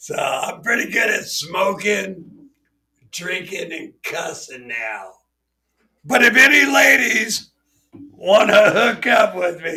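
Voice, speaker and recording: A man speaks in a raised, projected voice at a high pitch and a very slow pace. His loudness swings widely, broken by long, frequent pauses. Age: 50s. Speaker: podcast host. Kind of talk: casual chat.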